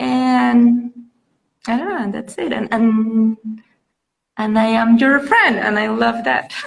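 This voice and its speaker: Very slow pace from a woman, broken by long, frequent pauses. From Venezuela. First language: Spanish. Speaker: mother. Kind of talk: casual chat.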